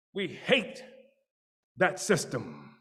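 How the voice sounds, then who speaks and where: With audible room echo, a man speaks at a very slow pace in an American accent. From US South, small city in Florida. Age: 80s. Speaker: political activist leader. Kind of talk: speech to a church audience. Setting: church.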